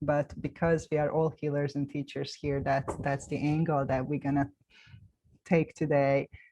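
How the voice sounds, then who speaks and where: A woman with a non-native accent speaks at a moderate pace in a very deep, low pitch, her dark, mellow tone held in a monotone, flat intonation against a quiet background. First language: not English. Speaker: round table host, healer. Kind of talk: panel discussion.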